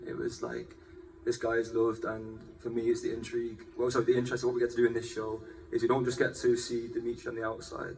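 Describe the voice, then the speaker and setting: Music plays in the background as a man talks at a very fast pace with audible room echo. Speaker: actor. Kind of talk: panel discussion. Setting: stage with audience.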